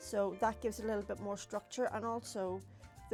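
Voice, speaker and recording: Music plays behind a woman as she talks. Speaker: papercrafter. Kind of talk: craft tutorial talk to camera. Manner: casual, chatty.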